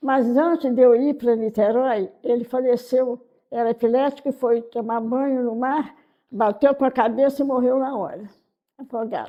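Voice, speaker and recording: A woman talks at a high pitch and a fairly slow pace. Her intonation stays fairly even. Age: 80s+. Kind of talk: interview answer.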